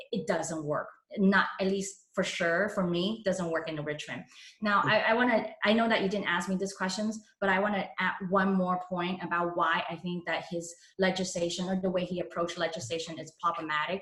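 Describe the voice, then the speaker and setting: A woman at medium pitch keeps a moderate pace and fairly even intonation while noticeable background noise plays. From Hong Kong, moved to San Francisco at 13. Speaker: political candidate. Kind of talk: endorsement interview. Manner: halting.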